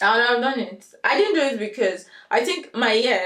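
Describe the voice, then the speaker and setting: A woman speaks with a Nigerian accent. Her pitch is fairly high and her pace fairly quick. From Nigeria, Lagos. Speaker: software engineer. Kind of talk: interview, career story.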